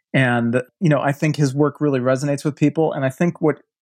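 A man speaks with an American accent in a normal speaking voice at a fairly high pitch. The sound is dry and close with no echo, and his pitch varies in an ordinary way. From US Midwest, Milwaukee, Wisconsin. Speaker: architecture writer and design strategist. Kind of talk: casual interview.

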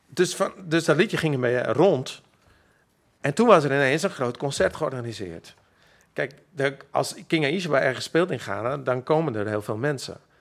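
A man speaks at a moderate pace with lively intonation and a fairly high pitch. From Friesland, Makkum. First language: Frisian (speaking Dutch). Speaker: musician. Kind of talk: interview. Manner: halting.

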